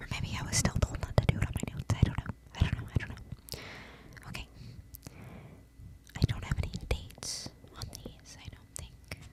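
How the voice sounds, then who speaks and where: Whispering with long, frequent pauses, a woman speaks over noticeable background noise. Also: fairly quick pace, big swings in loudness. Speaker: ASMR creator. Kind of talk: ASMR whisper rambling. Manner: semi-inaudible whisper.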